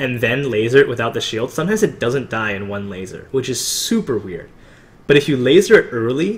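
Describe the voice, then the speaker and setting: A somewhat breathy male voice at a medium pitch. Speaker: gamer giving commentary on own run. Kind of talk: gameplay commentary. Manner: fast; casual with many fillers.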